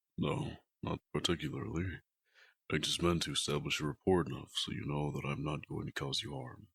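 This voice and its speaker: A man puts on a character voice with a very deep, low pitch and talks at a fairly quick pace. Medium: audio drama. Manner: formal, measured.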